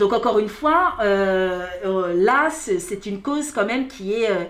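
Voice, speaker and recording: With very wide pitch swings, a woman speaks at a fairly high pitch amid noticeable background noise and audible room echo. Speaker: workshop host, co-presenter. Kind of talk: live interview.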